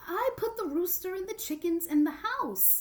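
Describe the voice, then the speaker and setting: A woman uses a squeaky, put-on character voice at an extremely high pitch. Her intonation is lively and her pace moderate. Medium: read story. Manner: complaining, pleading.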